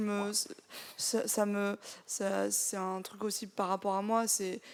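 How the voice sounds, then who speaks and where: A woman is speaking. Her voice has a medium pitch. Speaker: software developer. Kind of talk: live audience discussion.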